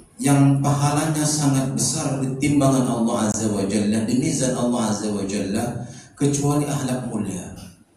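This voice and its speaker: A man speaks at a moderate pace in a medium pitch with ordinary pitch variation, with audible room echo and noticeable background noise. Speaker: Islamic preacher. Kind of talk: religious lecture. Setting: prayer room with audience.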